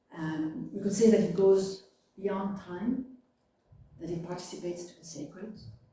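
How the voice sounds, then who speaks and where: With a French accent, a woman speaks at a moderate pace and medium pitch with ordinary variation, long, frequent pauses and big swings in loudness, while room echo is audible. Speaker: philosophy lecturer. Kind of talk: public talk.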